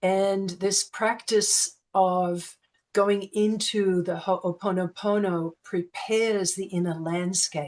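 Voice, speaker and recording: Fairly even intonation with an Australian accent. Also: woman. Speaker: sound healing practitioner. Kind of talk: interview answer.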